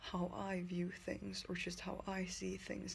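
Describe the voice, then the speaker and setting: Spoken with a non-native accent, the voice carries audible room echo. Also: woman. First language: not English. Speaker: vlogger in drug recovery. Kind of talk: personal video diary. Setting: lying in bed. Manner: halting.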